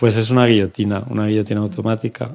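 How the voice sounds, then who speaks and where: Fairly low in pitch, this man has a plain, everyday voice. His intonation stays fairly even. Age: 50s. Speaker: bookbinder. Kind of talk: casual chat. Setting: studio.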